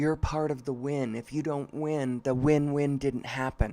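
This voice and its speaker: Speaking very slowly with an American accent, a man uses a fairly high, dark, mellow voice in a monotone, flat intonation. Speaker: live stream host. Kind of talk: stream-of-consciousness monologue. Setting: live stream. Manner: halting, with fillers.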